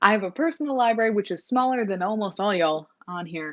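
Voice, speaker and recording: Her voice shows ordinary pitch variation as the woman speaks. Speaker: booktuber. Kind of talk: casual vlog talk. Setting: filming on a phone. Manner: fast; animated. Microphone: mobile phone recording.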